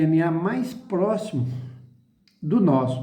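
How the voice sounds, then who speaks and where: A man's fairly high voice at a very slow pace, with lively intonation and audible room echo. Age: 60s. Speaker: chemist giving commentary. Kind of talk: explanatory video talk. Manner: halting.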